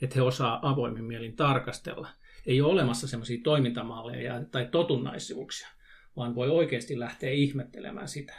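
A somewhat breathy man talks at a fairly quick pace and medium pitch with ordinary pitch variation. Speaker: youth worker. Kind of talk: casual discussion.

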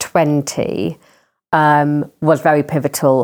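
A woman speaks in a South London accent at a very deep, low pitch. She goes at a very slow pace with fairly even intonation. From southern England, Croydon. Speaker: charity chief executive. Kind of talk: interview conversation. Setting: at home.

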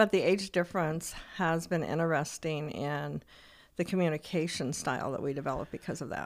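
Her pitch is very deep and low, with vocal fry and ordinary pitch variation as this woman speaks at a fairly quick pace. The recording is very clean, the background silent. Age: 60s. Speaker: podcast co-host. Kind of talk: casual chat.

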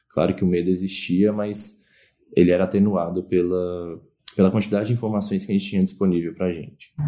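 Very deep and low, a man's dark, mellow voice moves at a fairly quick pace in a monotone, flat delivery. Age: 20s. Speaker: pandemic experience interviewee, research institute worker. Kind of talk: casual interview.

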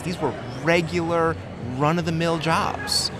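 Noticeable background noise surrounds the voice. A man with an American accent speaks at a high pitch. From Connecticut, US. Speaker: woodworking YouTuber and author. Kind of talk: casual interview. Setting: convention venue.

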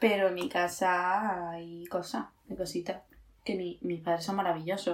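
A woman at a fairly low pitch and fairly slow pace, with fairly even intonation. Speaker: podcast co-host. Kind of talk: casual chat.

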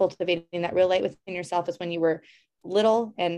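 Her tone dark and mellow, a woman at medium pitch speaks at a fairly quick pace with fairly even intonation. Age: 30s. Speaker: yoga instructor and self-love coach. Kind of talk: casual interview conversation.

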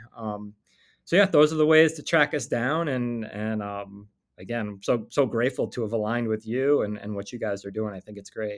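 A man talks in a normal speaking voice at a medium pitch and a moderate pace, with ordinary pitch variation. His loudness swings widely, and the recording is very clean with a silent background. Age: 40s. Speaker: attorney and entrepreneur. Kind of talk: interview.

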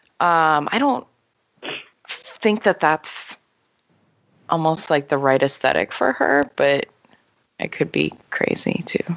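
In an American accent, a woman speaks at a very slow pace. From Minnesota. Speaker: English teacher, trivia player. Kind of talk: casual chat.

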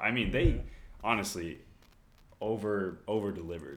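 Audible room echo surrounds a man speaking with an American accent and ordinary pitch variation. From Texas (Corpus Christi). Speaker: college tennis and pickleball player. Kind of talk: casual chat.

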